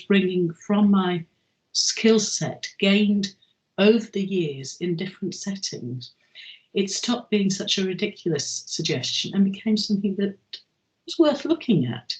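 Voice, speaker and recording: Somewhat breathy, a woman speaks at a moderate pace and medium pitch with lively intonation. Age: 70s. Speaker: chair of a learning charity for older people. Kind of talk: interview. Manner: halting, with frequent ums.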